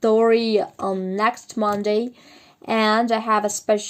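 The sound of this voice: This is an unforced reading voice. It reads the text aloud.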